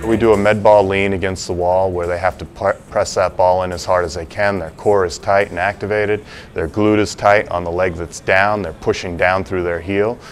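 Monotone, flat delivery at a moderate pace with hardly any pauses, over faint music in the background. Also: man, very deep, low pitch for a man. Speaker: strength coach. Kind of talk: interview answer. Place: gym.

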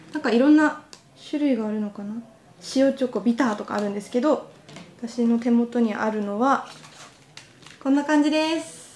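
A woman with a high pitch sounds cheerful, talking at a moderate pace with long, frequent pauses and big swings in loudness. Light background noise and audible room echo are present. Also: ordinary pitch variation. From Iwaki, Fukushima, Japan. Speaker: TV announcer. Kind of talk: casual on-location quiz segment. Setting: indoors at office, handheld camera. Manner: cheerful, laughs often. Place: office. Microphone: lapel.

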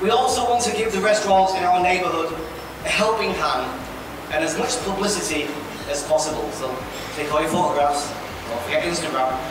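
Through strong room echo and noticeable background noise, a man talks at a fairly quick pace. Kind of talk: ceremony hosting speech. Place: hall. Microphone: podium.

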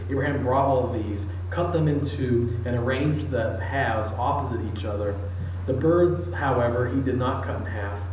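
A man talks at a moderate pace. There is audible room echo and light background noise. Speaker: preacher. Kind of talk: scripture reading in a sermon. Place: church. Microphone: camera far.

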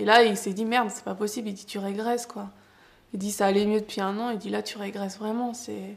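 Monotone, flat intonation from a woman at medium pitch and moderate pace. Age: 20s. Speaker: person living with psoriasis. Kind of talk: personal testimony; interview answer. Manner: halting, with frequent hesitations. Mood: emotional, candid, hesitant. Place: home room.

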